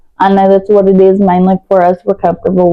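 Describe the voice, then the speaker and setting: With a strong Southern US accent, a woman speaks at a medium pitch. Her pace is moderate. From West Virginia, US. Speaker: vlogger. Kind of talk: storytime vlog while doing makeup. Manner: casual, conversational with fillers.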